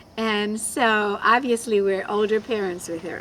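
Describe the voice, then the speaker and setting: A woman with a fairly high pitch and an American accent, amid noticeable background noise. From abroad, came to the US at ten. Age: 50s. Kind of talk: casual chat.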